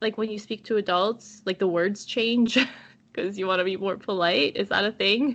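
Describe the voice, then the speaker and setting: A woman's plain, everyday voice with a Canadian accent, medium pitch, fairly even intonation and a moderate pace. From Canada. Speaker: podcaster. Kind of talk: casual chat.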